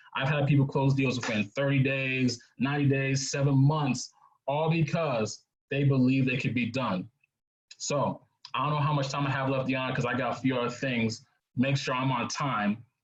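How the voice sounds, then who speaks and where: A man with a plain, everyday voice talks at medium pitch and a moderate pace, his intonation fairly even. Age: 20s. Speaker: real estate investor and speaker. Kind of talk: webinar presentation.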